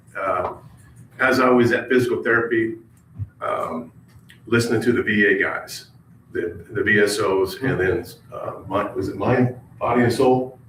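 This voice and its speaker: Long, frequent pauses from a man, with audible room echo and noticeable background noise. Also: moderate pace. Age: 60s. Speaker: retired army veteran, public commenter. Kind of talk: public comment at county meeting. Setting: county government meeting room. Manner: halting, many fillers.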